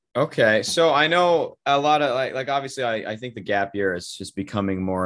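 Speaking at a fairly quick pace with lively intonation, this is an ordinary speaking voice with an American accent. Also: man. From US Pacific Northwest (Bend, Oregon). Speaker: podcast host. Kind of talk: casual chat.

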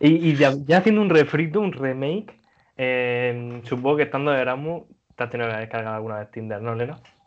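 A man with a normal speaking voice talks at a fairly quick pace and medium pitch, with ordinary pitch variation and big swings in loudness. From Murcia, Spain. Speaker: podcast host. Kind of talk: casual chat.

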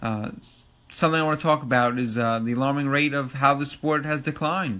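This man has a Long Island accent and a fairly high pitch. His tone is bright and sharp. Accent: New York (Long Island). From Long Island, New York. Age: 30s. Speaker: podcast host and ATV racing enthusiast. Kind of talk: casual solo podcast monologue. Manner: casual, filler-heavy, informal.

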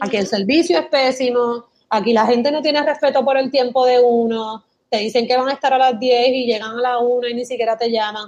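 A high-pitched woman's voice with a Puerto Rican accent. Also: fairly even intonation. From Puerto Rico. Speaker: former advertising worker, emigrant. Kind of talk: casual interview.

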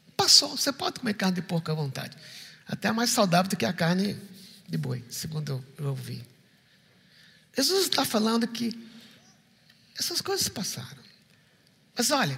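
Over noticeable background noise, a man speaks in a raised, projected voice with very wide pitch swings. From Recife, Brazil. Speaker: pastor. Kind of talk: sermon. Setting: church.

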